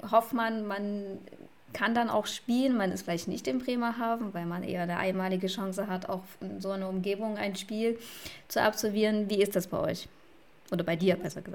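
A woman speaks in a plain, everyday voice at medium pitch. Her pace is moderate and her intonation fairly even. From Saxony, eastern Germany. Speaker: podcast co-host. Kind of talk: casual chat.

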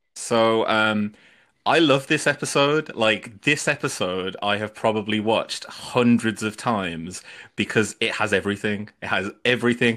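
With a British accent, a man at medium pitch talks at a moderate pace with ordinary pitch variation, recorded very cleanly against a silent background. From UK. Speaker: podcast guest. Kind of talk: casual chat. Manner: animated.

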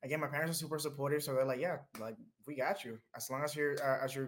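A man with an American accent speaks at a fairly high pitch. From Dominican Republic, later New Jersey. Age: 20s. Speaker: behavior analyst and mental health advocate. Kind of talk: interview, personal story. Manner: animated, laughing.

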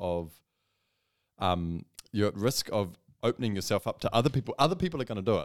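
With a New Zealand accent, a man talks with ordinary pitch variation and long, frequent pauses, in a dry, close sound with no echo. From New Zealand, Whanganui. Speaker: content creator, graphic designer. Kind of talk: casual interview chat.

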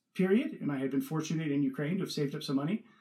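A man talks with a Californian accent. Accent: Californian American. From Northern California. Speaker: food company co-founder and investor. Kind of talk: interview.

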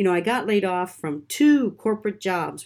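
A woman's normal speaking voice with lively intonation at a moderate pace, on a very clean recording with a silent background. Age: 50s. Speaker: podcast host, digital marketer. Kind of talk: solo podcast monologue. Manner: casual, many fillers.

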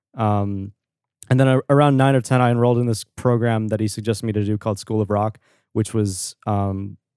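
In a very clean recording with a silent background and a dry, close sound without echo, a man with a dark, mellow tone talks fairly quickly in fairly even intonation. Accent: American. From New York, Long Island. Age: 20s. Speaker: indie pop musician. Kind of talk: casual chat.

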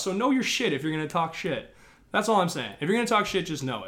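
A man with a Midwestern American accent, speaking at a very fast pace. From Chicago suburbs, Illinois. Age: 20s. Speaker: hip hop artist. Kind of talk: casual interview.

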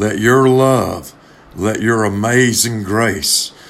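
There is a warm tone to this man's voice as he talks at a very slow pace. Noticeable background noise can be heard. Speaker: pastor. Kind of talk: fervent pastoral prayer. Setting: remote recording, church podcast. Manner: earnest, pleading, impassioned; warm, pastoral, sincere.

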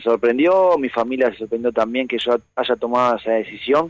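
A man's medium-pitched voice, showing ordinary pitch variation, comes through dry and close with no echo. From Argentina, Buenos Aires (Saavedra). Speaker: professional footballer. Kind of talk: phone interview. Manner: halting, many repetitions.

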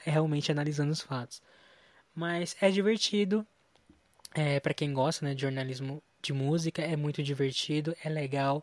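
A man with a fairly high pitch and an unremarkable speaking voice keeps his intonation fairly even, recorded very cleanly with a silent background and a dry, close sound with no echo. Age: 20s. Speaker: pop culture news editor. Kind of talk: casual interview.

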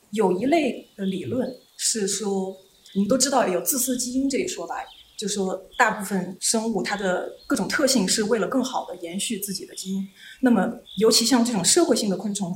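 Noticeable background noise and audible room echo surround a woman speaking at a fairly high pitch with lively intonation. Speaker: postdoctoral researcher in population genetics. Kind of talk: casual interview explaining science.

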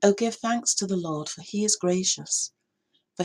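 A woman with an English accent talks at a moderate pace in a somewhat breathy voice with ordinary pitch variation and a dry, close sound with no echo. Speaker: church minister. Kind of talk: reading aloud of prayers and psalms.

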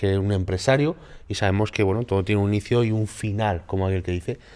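A normal speaking voice from a man, fairly low pitch, ordinary pitch variation, very clean recording with a silent background. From Málaga, southern Spain. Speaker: podcast host, bodybuilder and content creator. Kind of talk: casual interview.

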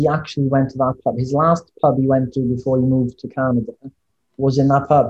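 A man with a Welsh accent, medium pitch, a dark, mellow, somewhat breathy tone and a moderate pace. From Wales. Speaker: podcast guest.

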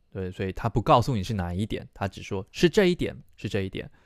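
A man with a fairly low pitch is heard on a very clean recording with a silent background and a dry, close sound with no echo. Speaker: Chinese language teacher and podcast host. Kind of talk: language lesson.

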